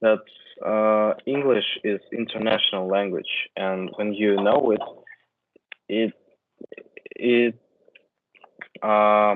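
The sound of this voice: A man speaks slowly in a fairly low voice, with fairly even intonation. He leaves long, frequent pauses.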